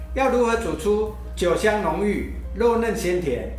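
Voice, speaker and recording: Faint music sits in the background, along with audible room echo. A man speaks at a fairly slow pace. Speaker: chef host. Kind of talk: cooking tutorial intro. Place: kitchen.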